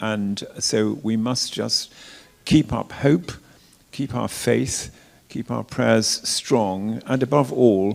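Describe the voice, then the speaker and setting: A man in an RP accent with a fairly low pitch, ordinary pitch variation, and a very slow pace. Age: 70s. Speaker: retired cathedral dean. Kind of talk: interview talk. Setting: church forum with live audience. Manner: halting, repeats words.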